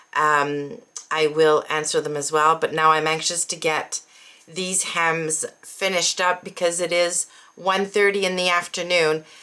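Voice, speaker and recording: Amid noticeable background noise, a woman speaks slowly and flatly in a fairly low pitch with monotone intonation, at a fairly slow pace. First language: French. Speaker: sewing vlogger. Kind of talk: casual vlog chat.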